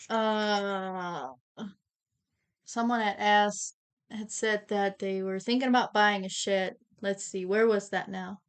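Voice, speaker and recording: Speaking at a very slow pace with long, frequent pauses, a woman with an American accent uses a medium pitch and fairly even intonation over a quiet background. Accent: Amish accent noticed by viewers. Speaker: co-host reading viewer questions. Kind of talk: livestream Q&A.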